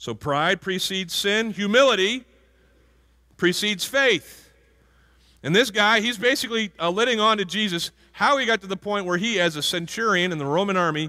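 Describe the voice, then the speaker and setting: A man's raised, projected voice, high-pitched with a bright, sharp tone, moves at a moderate pace with ordinary pitch variation on a very clean recording with a silent background. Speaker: pastor. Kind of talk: sermon.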